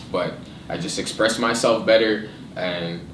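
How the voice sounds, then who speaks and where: Audible room echo mixes with noticeable background noise in this clip. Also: man. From Haitian background, Ottawa, Canada. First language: French. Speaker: rapper. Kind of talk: casual interview.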